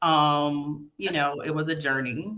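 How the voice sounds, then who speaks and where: In a Tidewater Virginia accent, a woman speaks at a very deep, low pitch with ordinary pitch variation. Her tone is bright and sharp. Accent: Norfolk Virginia dialect, Southern. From Norfolk, Virginia. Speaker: public relations professional, divorce story author. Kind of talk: interview.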